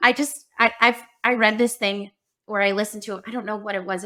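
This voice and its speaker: Her pitch sits in the medium range for a woman. She talks at a fairly quick pace. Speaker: podcast co-host. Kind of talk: casual podcast chat. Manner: loud.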